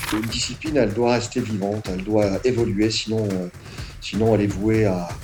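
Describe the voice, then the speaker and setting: With audible room echo and noticeable background noise, a man speaks in a fairly low pitch with fairly even intonation. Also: moderate pace. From northern France. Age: 60s. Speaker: martial arts instructor. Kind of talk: interview. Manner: hesitant, many fillers.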